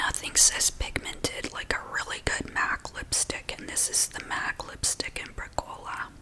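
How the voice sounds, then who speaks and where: A woman whispers in a calm tone at a fairly slow pace. Noticeable background noise runs underneath. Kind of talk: soft-spoken ASMR product demo. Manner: soft-spoken, calm.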